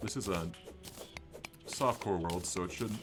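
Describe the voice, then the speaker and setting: A man talks at a very fast pace in a very deep, low voice with ordinary pitch variation. Music plays in the background. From Minnesota. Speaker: gaming streamer. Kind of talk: live gameplay commentary. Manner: casual, chatty. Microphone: new mic, audio issues.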